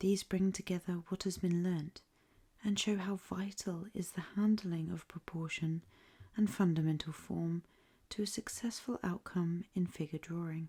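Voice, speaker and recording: This soft-spoken voice has an English accent and a moderate pace. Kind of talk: ASMR book reading.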